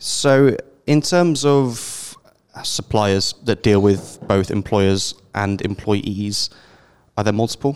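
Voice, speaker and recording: A man with a British accent speaks at a very slow pace, with long, frequent pauses. His pitch is fairly low, with ordinary variation. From Britain. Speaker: podcast host. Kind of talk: interview.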